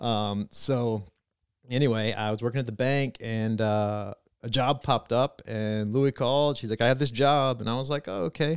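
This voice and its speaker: In a normal speaking voice, a man with an American accent talks at a moderate pace and medium pitch with fairly even intonation, the sound dry and close with no echo on a very clean recording with a silent background. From eastern North Carolina. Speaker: racetrack president. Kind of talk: casual interview.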